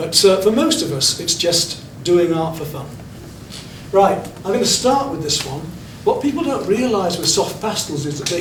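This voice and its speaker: At a fairly quick pace and with ordinary pitch variation, a man talks amid noticeable background noise and audible room echo. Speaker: art teacher. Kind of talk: art class demonstration. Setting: classroom with students. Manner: fast.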